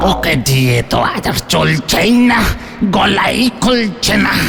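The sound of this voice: A man's cartoonish character voice at a fairly slow pace, over clear background noise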